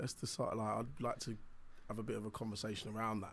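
Vocal fry runs through a fairly bright tone delivered at a fast pace with little pitch movement. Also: man, fairly low pitch for a man.

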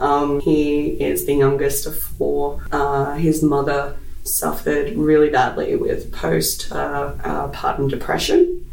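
Music plays in the background as a man with an Australian accent speaks very slowly with hardly any pauses, with audible room echo. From Australia, Brisbane. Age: 20s. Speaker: podcast guest. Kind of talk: casual chat.

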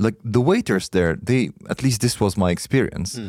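At a fairly quick pace, a man talks in a dark, mellow tone, the sound dry and close with no echo and the recording very clean over a silent background. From Egypt. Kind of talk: casual chat.

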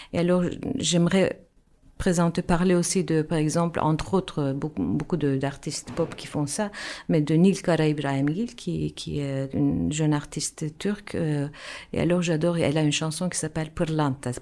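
With a Turkish accent, a woman speaks at a moderate pace in a very deep, low pitch. Her tone is dark and mellow, with ordinary pitch variation. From Turkey, Istanbul. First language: Turkish (speaking French). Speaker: musician and actress. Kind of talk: radio interview. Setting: radio studio. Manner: halting.

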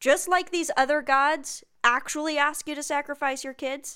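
A woman projects her voice at a fairly slow pace, her tone bright and sharp and her intonation lively. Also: very clean recording, silent background. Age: 20s. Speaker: podcast host. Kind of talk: casual chat.

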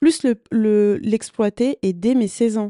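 A woman with a dark, mellow tone speaks very slowly, the sound dry and close with no echo against a quiet background. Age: 20s. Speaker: podcast host and content creator. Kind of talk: casual solo monologue. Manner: hesitant, many fillers.

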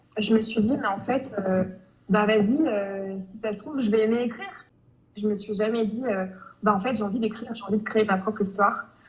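Over noticeable background noise, a woman speaks at a moderate pace with fairly even intonation and long, frequent pauses. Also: fairly high pitch for a woman. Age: 20s. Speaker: romance novelist. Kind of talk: interview. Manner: hesitant, many fillers.

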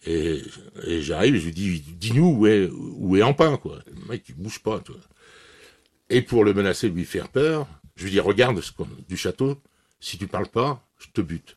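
Over a quiet background and with a dry, close sound with no echo, a man speaks at a fairly low pitch and a fairly slow pace, with very wide pitch swings, big swings in loudness, and long, frequent pauses. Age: 60s. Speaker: retired police officer. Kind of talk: interview testimony.

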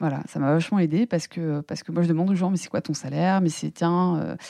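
A woman's fairly low-pitched voice, with a dark, mellow tone and a fairly quick pace. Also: dry, close sound with no echo. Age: 30s. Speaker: computational scientist and entrepreneur. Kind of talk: casual interview. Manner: halting, many fillers and repetitions.

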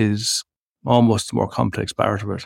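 A voice with an Irish Midlands accent comes through dry and close with no echo on a very clean recording with a silent background. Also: man. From Irish Midlands, County Laois. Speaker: academic researcher in sustainability. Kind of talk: interview conversation.

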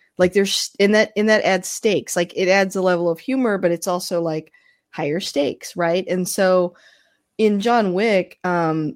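In a very clean recording with a silent background, a woman uses an unremarkable speaking voice at medium pitch, with ordinary pitch variation and a moderate pace. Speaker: podcast host, guest. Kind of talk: casual chat.

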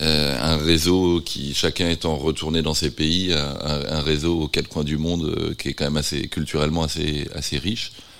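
Noticeable background noise runs behind a man whose very deep, low voice stays monotone and flat at a moderate pace with hardly any pauses. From France, Nantes. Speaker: visual artist. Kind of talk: interview. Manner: halting.

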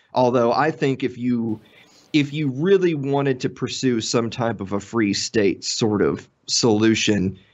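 A man with a Tennessee accent at a fairly slow pace, with ordinary pitch variation. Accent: Southern US (Tennessee). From US South, Middle Tennessee. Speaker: podcaster. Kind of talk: casual chat.

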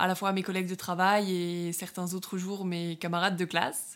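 A woman at medium pitch, moderate pace, and monotone, flat intonation. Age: 20s. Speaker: podcast host, online fitness coach. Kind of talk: solo monologue podcast. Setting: alone in her bedroom.

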